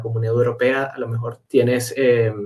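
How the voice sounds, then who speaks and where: A man speaks with a Caracas accent. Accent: Venezuelan (Caracas). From Caracas, Venezuela. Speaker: meteorologist. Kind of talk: interview answer.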